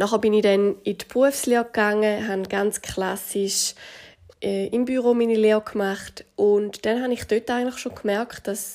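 With a Swiss accent, a woman speaks at a fairly slow pace, medium in pitch and monotone, flat in intonation. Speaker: fitness trainer and nutrition coach. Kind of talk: podcast monologue.

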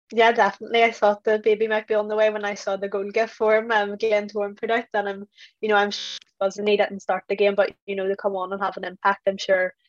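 A woman with a Northern Irish accent speaks at a very fast pace in a medium pitch and monotone, flat intonation, with a dry, close sound with no echo. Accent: Northern Irish (Belfast). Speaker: football pundit. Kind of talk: casual chat.

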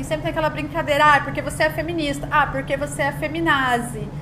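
Noticeable background noise runs under a woman's voice. Audible room echo is present too. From Brazil, São Paulo. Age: 30s. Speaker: podcast co-host, content agency owner. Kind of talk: casual chat.

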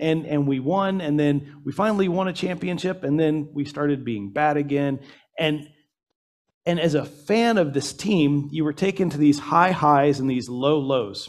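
A man talks in a plain, everyday voice with an American accent, his pitch fairly high. He keeps a moderate pace with ordinary pitch variation. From US South, Atlanta, Georgia. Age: 40s. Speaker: church elder, preacher. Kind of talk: sermon. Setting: church service, also streamed on Zoom.

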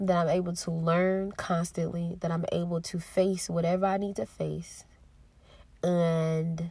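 A woman speaks in a dark, mellow, somewhat breathy tone with monotone, flat intonation. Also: fairly low pitch for a woman, fairly slow pace. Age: 30s. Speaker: podcast host. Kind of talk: personal monologue. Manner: emotional.

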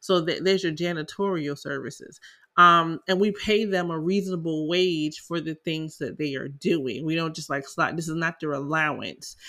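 The speaker has a Southern US accent and keeps a moderate pace. There are hardly any pauses. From South Carolina. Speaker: tax preparer and podcast host. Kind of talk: casual educational talk, podcast monologue. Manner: conversational, filler-heavy.

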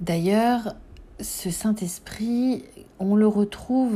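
With lively intonation, a woman speaks in a dark, mellow tone. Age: 40s. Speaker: podcast host on symbolism and spirituality. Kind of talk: personal reflective monologue. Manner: hesitant, with fillers and repetitions.

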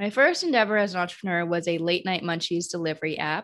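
A woman talks in an American accent with a fairly low pitch. The background is quiet. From US Midwest. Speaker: entrepreneur and investor. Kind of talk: interview. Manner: energetic.

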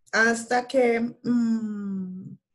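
A woman talks with fairly even intonation at a fairly high pitch. Her voice is somewhat breathy. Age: 30s. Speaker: guest sharing a health and weight-loss story. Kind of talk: casual interview. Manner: halting with many fillers.

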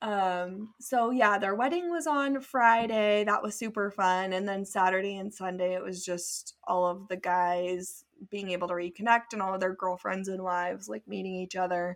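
Hardly pausing, a woman with an American accent and an unremarkable speaking voice keeps a medium pitch and fairly even intonation. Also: moderate pace. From California, near Santa Cruz. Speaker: podcast co-host. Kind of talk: casual chat.

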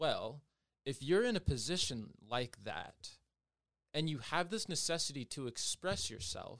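Speaking with an American accent and a fairly high pitch, a man goes at a fairly slow pace with long, frequent pauses and very wide pitch swings. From Everett, Washington, US. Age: 20s. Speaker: dancer and singer. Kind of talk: casual chat.

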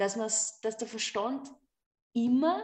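Somewhat breathy in tone, a woman talks at a very slow pace. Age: 30s. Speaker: yoga teacher and artist. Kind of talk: casual chat.

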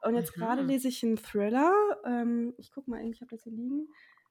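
Pitch moves in ordinary ways through the woman's high voice. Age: 20s. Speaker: author and bookseller. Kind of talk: casual interview chat.

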